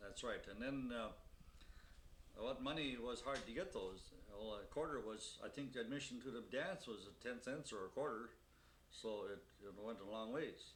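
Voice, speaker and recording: Ordinary pitch movement at an unhurried, middling tempo, plus echo audible from the room. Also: man, medium pitch for a man. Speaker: elderly interviewee recalling his life. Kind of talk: oral history interview. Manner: halting, many fillers.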